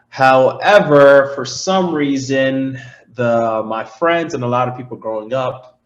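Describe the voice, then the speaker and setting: Audible room echo follows a man of medium pitch as he speaks at a fairly slow pace with ordinary pitch variation. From Niger, then Germantown, Maryland. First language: Zarma and French. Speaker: podcast guest, recent college graduate. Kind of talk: casual interview chat. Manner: relaxed, hesitant with fillers.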